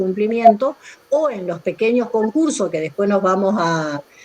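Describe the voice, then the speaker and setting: The voice moves in very wide pitch swings over noticeable background noise. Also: woman. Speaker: law professor. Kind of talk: online lecture.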